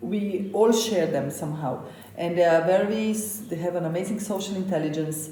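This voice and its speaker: In a medium pitch with ordinary pitch variation, a woman speaks at a moderate pace amid noticeable background noise and audible room echo. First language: Slovenian. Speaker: chef. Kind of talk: interview.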